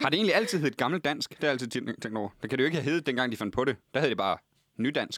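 Lively in intonation and fairly high in pitch, a man speaks at a very fast pace in a dry, close sound with no echo. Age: 20s. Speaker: comedian. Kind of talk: casual chat. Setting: studio.

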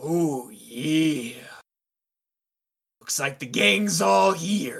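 This is a put-on character voice at middle pitch. The pace is very slow. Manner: swaggering, cocky.

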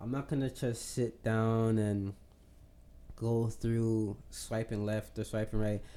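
This man's voice sits at a medium pitch and has a dark, mellow tone. He talks at a fairly slow pace. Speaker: podcast co-host. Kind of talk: casual chat. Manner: laid back.

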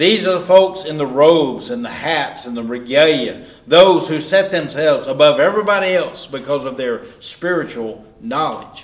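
Lively intonation marks a man speaking with a Southern US accent over noticeable background noise. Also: fairly high pitch for a man, moderate pace, hardly any pauses. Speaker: Bible class teacher. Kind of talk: sermon-style Bible lesson. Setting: church class. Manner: informal, conversational, teaching.

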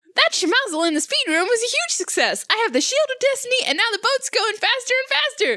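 A woman with an extremely high pitch speaks at a fairly quick pace, her pitch swinging very widely. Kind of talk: comic overacting. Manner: brash, defiant, bored.

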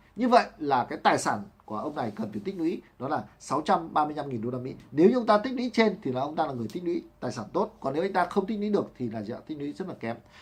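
The speech runs with hardly any pauses and very wide pitch swings. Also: man, fairly high pitch for a man, fairly quick pace. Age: 40s. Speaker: book reviewer. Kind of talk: book summary talk. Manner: halting, many fillers.

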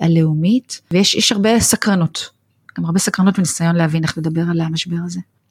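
An unremarkable speaking voice with fairly even intonation comes through in a dry, close sound with no echo. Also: woman, fairly low pitch for a woman. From Israel. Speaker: nonprofit executive. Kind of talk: interview.

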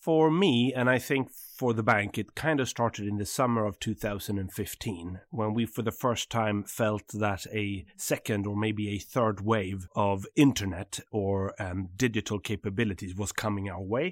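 A man with a Swedish accent talks at a moderate pace with hardly any pauses, his fairly low voice showing ordinary pitch variation. The sound is dry and close with no echo, on a very clean recording with a silent background. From southern Sweden. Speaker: bank CEO. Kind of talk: interview conversation.

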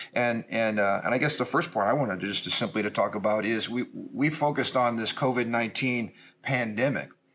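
A man talks fairly quickly with an American accent in a plain, everyday voice. His pitch is medium, with ordinary variation. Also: very even loudness. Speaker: pastor. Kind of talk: casual discussion.

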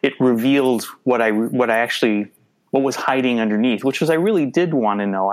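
A man with a Minnesotan accent. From Minnesota, US. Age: 50s. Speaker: adoptee and photographer. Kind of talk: casual interview.

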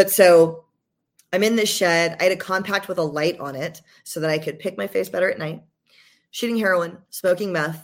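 A woman with an American accent and a fairly low pitch, fairly even intonation at a moderate pace, a plain, everyday voice, on a very clean recording with a silent background. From US South, Georgia. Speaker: podcaster in addiction recovery. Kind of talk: testimony.

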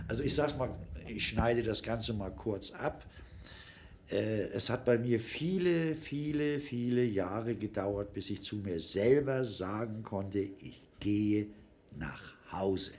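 Audible room echo carries a man's voice. He speaks at a very slow pace with lively intonation. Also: fairly low pitch for a man. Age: 60s. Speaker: formerly homeless man. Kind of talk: personal testimony in interview. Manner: informal, conversational.

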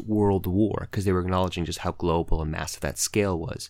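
Fairly quick and fairly even in intonation, a man with an unremarkable speaking voice talks on a very clean recording with a silent background. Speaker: trivia podcast co-host. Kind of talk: casual banter between brothers.

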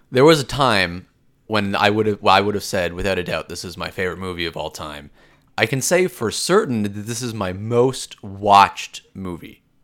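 A man with a normal speaking voice talks at a moderate pace, fairly low in pitch with ordinary pitch variation. His loudness swings widely on a very clean recording with a silent background. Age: 20s. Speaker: podcast co-host, movie reviewer. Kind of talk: casual chat.

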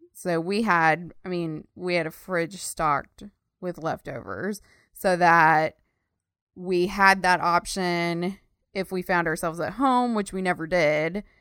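A woman with a normal speaking voice, fairly low in pitch, fairly even in intonation, and fairly slow in pace. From Texas. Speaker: podcast co-host, web designer. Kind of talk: casual chat.

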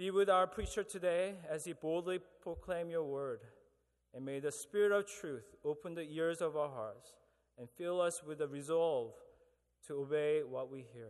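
A man with a normal speaking voice talks at a moderate pace in a fairly high pitch. His pitch varies in an ordinary way, while his loudness swings widely. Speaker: prayer leader at chapel service. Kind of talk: congregational prayer. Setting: church.

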